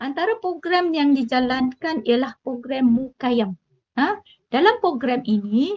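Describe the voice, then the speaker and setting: High-pitched female voice, lively in intonation. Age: 50s. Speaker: teacher. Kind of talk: interview.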